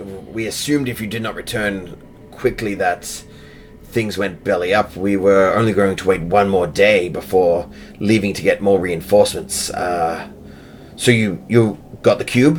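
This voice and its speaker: A man puts on a raspy character voice, fairly low in pitch, with ordinary pitch variation at a moderate pace. Clear background noise can be heard. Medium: actual play.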